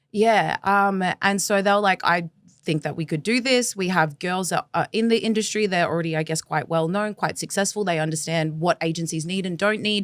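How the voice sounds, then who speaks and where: Someone with an Australian accent talks at a fairly quick pace, with hardly any pauses and ordinary pitch variation. The recording is very clean with a silent background, and the sound is dry and close with no echo. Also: woman, medium pitch for a woman. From Australia, Melbourne. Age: 20s. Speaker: former agency recruiter turned activist. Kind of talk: interview conversation.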